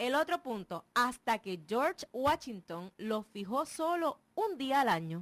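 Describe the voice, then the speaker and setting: A woman's high-pitched voice at a very slow pace with very wide pitch swings, hardly any pauses and a dry, close sound with no echo. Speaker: radio co-host. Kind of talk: live radio talk show.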